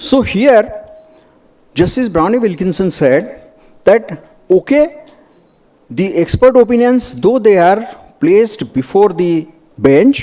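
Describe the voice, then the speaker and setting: A man with an Indian accent talks at a very slow pace, using long, frequent pauses. His voice is high and swings very widely in pitch. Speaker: doctor and medico-legal speaker. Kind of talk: conference lecture. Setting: conference hall with audience.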